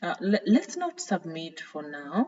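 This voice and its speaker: In a non-native accent, a woman talks at a very slow pace. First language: not English. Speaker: tutorial creator. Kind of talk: screen-share tutorial. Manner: hesitant, frequent fillers.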